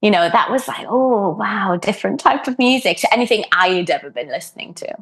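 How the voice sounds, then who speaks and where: Her pitch fairly high and her intonation lively, a woman with a Welsh accent speaks at a fairly quick pace. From Wales. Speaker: harpist. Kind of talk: podcast interview. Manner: hesitant, many fillers.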